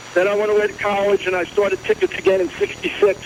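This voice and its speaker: A man speaks with fairly even intonation. Noticeable background noise runs underneath. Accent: American. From Philadelphia area, New Jersey. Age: 60s. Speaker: caller. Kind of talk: phone-in call.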